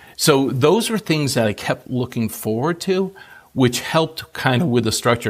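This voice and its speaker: This man has a plain, everyday voice and talks at a fairly quick pace. His pitch varies an ordinary amount. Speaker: retiree. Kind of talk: interview answer. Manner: casual, conversational.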